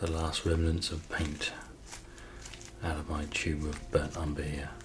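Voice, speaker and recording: Soft-spoken and soothing, a man talks at a fairly slow pace in a very deep, low pitch with monotone, flat intonation over noticeable background noise. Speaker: painter, ASMR art creator. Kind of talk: ASMR painting session, casual talk to camera. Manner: soft-spoken, slow, soothing.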